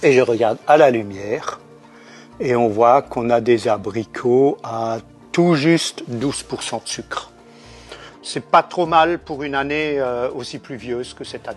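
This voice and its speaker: A man at medium pitch with an Alsatian accent, fairly slow, with ordinary pitch variation and big swings in loudness, over music in the background. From Alsace, France. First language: Alsatian (speaking French). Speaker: jam maker. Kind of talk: casual explanatory talk.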